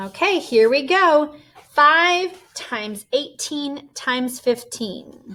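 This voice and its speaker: A woman with a high pitch speaks in a raised, projected voice. Her intonation is lively, and her pace is very slow. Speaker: elementary school teacher. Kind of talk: tutorial.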